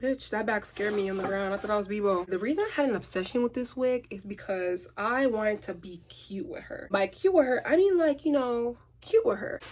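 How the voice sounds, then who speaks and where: Talking at a fairly quick pace with hardly any pauses, a woman sounds animated, her fairly high pitch carrying lively intonation. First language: not English. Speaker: beauty vlogger. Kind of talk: casual vlog rant while installing a wig.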